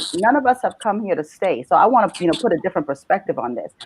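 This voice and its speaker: A woman's voice at a fairly quick pace, with lively intonation. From Bahamas. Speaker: mother in panel discussion. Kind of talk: panel discussion. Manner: animated.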